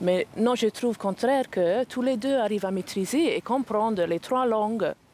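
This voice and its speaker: A woman speaks with an English accent. Her pace is moderate and her pitch varies in an ordinary way. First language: English (speaking French). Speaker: parent. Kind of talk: interview testimony. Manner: halting.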